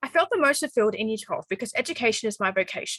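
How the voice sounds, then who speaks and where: Using lively intonation, a woman speaks with an Australian accent. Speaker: university student. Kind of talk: scripted monologue. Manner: halting.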